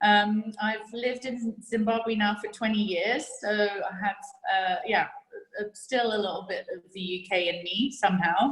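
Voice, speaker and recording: A woman's fairly high voice at a fairly slow pace, with fairly even intonation and noticeable background noise behind it. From England, London. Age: 40s. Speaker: sculpture curator and exporter. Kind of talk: interview. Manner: hesitant, many fillers.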